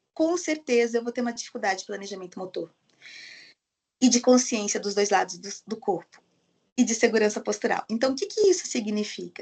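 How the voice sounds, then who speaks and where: A woman with a fairly high voice speaks at a fairly quick pace with lively intonation. Her loudness swings widely, and she takes long, frequent pauses. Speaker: occupational therapist giving online training. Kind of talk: lecture. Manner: fast.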